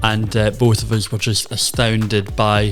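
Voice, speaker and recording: Music sounds in the background as a man speaks at a fairly slow speed. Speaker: podcast host. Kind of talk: podcast intro.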